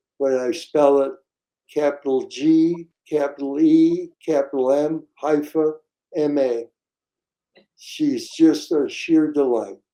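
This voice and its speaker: A man with a fairly high, dark and mellow voice speaks at a very slow pace with fairly even intonation and long, frequent pauses. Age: 80s+. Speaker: retired dentist. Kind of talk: interview. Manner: halting.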